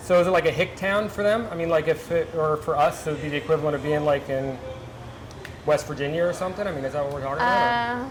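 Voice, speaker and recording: A man with a Mid-Atlantic US accent, fairly high pitch and lively intonation at a very fast pace, amid noticeable background noise and audible room echo. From Delaware, US. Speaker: cooking show host. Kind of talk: cooking show chat. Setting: working kitchen, on set. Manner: casual, chatty.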